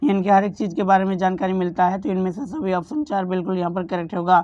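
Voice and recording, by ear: A woman talks at a fairly quick pace. Her tone is slightly mellow.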